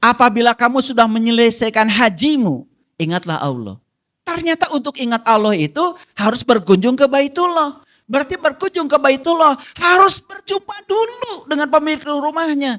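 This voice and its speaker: This man's voice sits extremely high and swings very widely in pitch, with a bright, sharp tone. He talks at a moderate pace in a dry, close sound with no echo. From Garut, West Java, Indonesia. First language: Sundanese (speaking Indonesian). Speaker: spiritual teacher. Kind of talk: religious study lecture.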